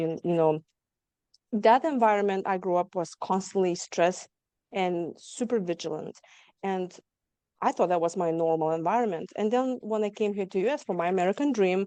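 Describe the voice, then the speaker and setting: With a dark, mellow tone and a medium pitch, a woman speaks in a dry, close sound with no echo and a quiet background. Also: ordinary pitch variation, moderate pace. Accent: slight Lithuanian. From Lithuania. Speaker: trauma survivor guest. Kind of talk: interview testimony.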